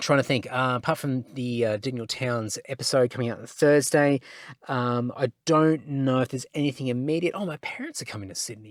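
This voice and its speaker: A man's medium-pitched voice in an Australian accent, dry and close with no echo, on a very clean recording with a silent background. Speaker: podcast host. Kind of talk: casual solo podcast chat. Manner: slurring; hesitant, many fillers.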